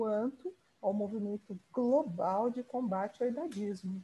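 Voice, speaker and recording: Her voice is fairly high-pitched, with a dark, mellow tone and a somewhat breathy quality. The woman speaks at a fairly slow pace. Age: 60s. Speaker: podcast host. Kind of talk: interview.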